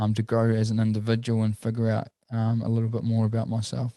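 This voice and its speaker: With a New Zealand accent, a man talks at a fairly quick pace in a dark, mellow tone and monotone, flat intonation. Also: very clean recording, silent background. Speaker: entrepreneur. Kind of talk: casual chat.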